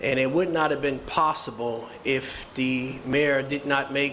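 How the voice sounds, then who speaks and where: With audible room echo and noticeable background noise, a man speaks at a fairly high pitch in a monotone, flat intonation. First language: Haitian Creole. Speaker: restaurant owner. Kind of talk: press conference speech.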